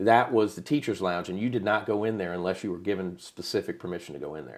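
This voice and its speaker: With an American accent, the speaker talks at a very fast pace with ordinary pitch variation and big swings in loudness, in a very clean recording with a silent background. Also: man, very deep, low pitch for a man. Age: 50s. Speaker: podcast host. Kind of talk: casual chat. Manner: animated.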